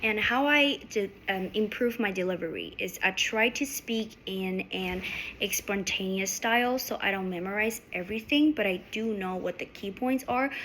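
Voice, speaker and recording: This woman has a medium pitch and ordinary pitch variation. She talks at a fairly slow pace. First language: not English. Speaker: student. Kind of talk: class presentation. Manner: halting.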